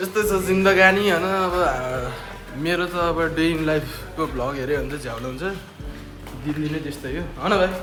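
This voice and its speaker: Over music in the background, a man talks at a fairly high pitch for a man with ordinary pitch variation and audible room echo. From Nepal. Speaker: vlogger. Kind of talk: casual chat. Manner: animated.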